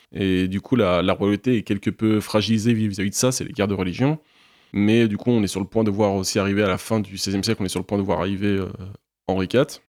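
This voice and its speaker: Speaking fairly quickly with fairly even intonation, a man with a fairly low pitch is heard in a dry, close sound with no echo on a very clean recording with a silent background. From Normandy, France (Caen). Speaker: history graduate student. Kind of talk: interview. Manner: hesitant, with many fillers.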